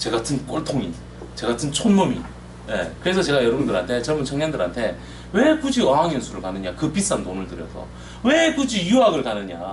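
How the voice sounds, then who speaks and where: Noticeable background noise and audible room echo surround a man speaking at a fairly quick pace. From South Korea, Daegu (Gyeongsang). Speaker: overseas employment consultant. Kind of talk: presentation seminar.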